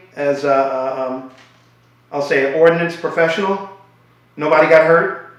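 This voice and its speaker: Moderate pace against noticeable background noise. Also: man. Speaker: interviewer. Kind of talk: interview question.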